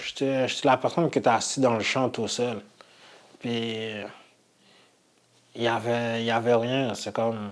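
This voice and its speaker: A man with a non-native accent speaks at a fairly slow pace with long, frequent pauses. His intonation is monotone and flat. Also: medium pitch for a man. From immigrated as a child, grew up in Quebec. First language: not French (speaking French). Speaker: adult learner with low literacy. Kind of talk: personal testimony. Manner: halting.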